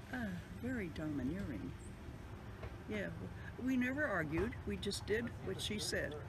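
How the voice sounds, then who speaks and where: A woman speaks at a moderate pace with long, frequent pauses. Noticeable background noise runs behind her. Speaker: interviewee recalling family memories. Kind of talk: interview answer. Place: home room.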